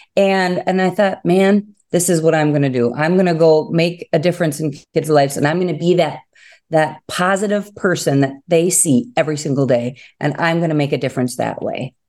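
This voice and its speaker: A woman with an Upper Peninsula Michigan accent speaks at a moderate pace with hardly any pauses. Her pitch is fairly low with ordinary variation, in a very clean recording with a silent background. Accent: Upper Midwest (Yooper). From Upper Peninsula of Michigan. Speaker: first-grade teacher. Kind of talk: interview.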